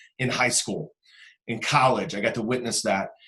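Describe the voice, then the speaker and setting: A somewhat breathy voice with an American accent carries ordinary pitch variation. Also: man. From US Midwest, Cleveland Ohio. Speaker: real estate investor. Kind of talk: podcast interview. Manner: animated.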